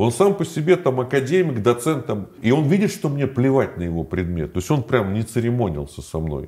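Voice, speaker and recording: With a dark, mellow tone and vocal fry, the voice moves at a moderate pace with very wide pitch swings and hardly any pauses. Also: man, medium pitch for a man. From Moscow, Russia. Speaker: former prisoner and video blogger. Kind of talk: interview.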